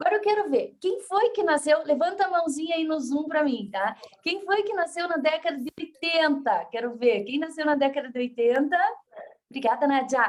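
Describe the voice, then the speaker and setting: Animated and high-pitched, a woman's voice sweeps through very wide pitch swings. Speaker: motivational speaker. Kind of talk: lecture. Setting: video call. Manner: fast.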